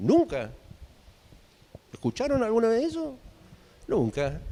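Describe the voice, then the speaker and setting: A man at a moderate pace. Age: 50s. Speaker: guest lecturer. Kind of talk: lecture.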